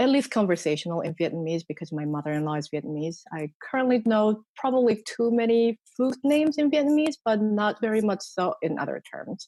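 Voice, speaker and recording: A woman with a Korean accent talks at a fairly quick pace with hardly any pauses, using a fairly high pitch, very wide pitch swings and a dark, mellow tone. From South Korea, partly raised in Sri Lanka. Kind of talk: casual interview conversation. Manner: hesitant, many fillers.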